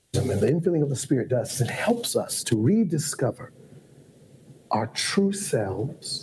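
In an American accent, a man speaks at a fairly slow pace with a somewhat breathy, dark, mellow tone and very wide pitch swings. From Ohio. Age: 50s. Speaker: bishop and pastor. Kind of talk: casual chat. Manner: formal.

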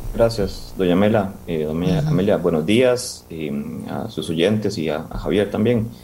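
Amid noticeable background noise and audible room echo, a man with a fairly low voice speaks at a fairly slow pace with lively intonation. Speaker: conservation group director. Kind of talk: interview.

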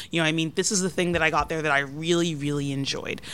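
Ordinary pitch variation runs through an unremarkable speaking voice in an American accent. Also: woman. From US South (Georgia). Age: 30s. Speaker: food editor and writer. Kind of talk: casual interview.

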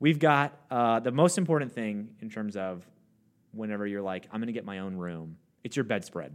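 With a normal speaking voice, a man talks at a moderate pace and fairly low pitch, using lively intonation and big swings in loudness. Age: 30s. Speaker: podcast co-host. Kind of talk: casual chat.

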